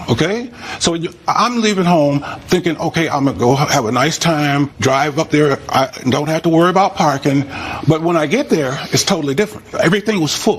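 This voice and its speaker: A man speaks fast-ish and fairly high, with lively intonation and very even loudness. Noticeable background noise runs underneath. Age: 80s+. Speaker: plaintiff in small claims court. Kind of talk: courtroom testimony. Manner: halting, with frequent fillers.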